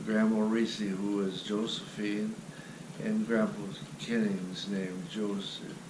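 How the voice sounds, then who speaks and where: Amid noticeable background noise and audible room echo, a man talks at a very slow pace in a fairly low voice. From US Midwest, western Ohio. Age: 80s+. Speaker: grandfather telling his life story. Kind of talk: family oral history interview.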